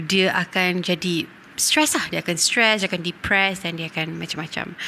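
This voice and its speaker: A woman talks in a plain, everyday voice. Her pace is moderate and her pitch variation ordinary. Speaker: podcast host. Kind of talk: casual chat.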